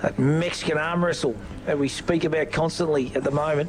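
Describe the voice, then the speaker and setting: A man with an Australian accent speaks at a fairly quick pace in a fairly high pitch, his loudness very even, over noticeable background noise. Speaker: football commentator. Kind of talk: live commentary; casual chat. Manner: animated.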